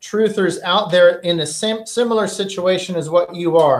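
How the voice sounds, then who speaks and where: Moderate-paced speech from a man, with ordinary pitch variation. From United States. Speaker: podcast host. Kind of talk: interview.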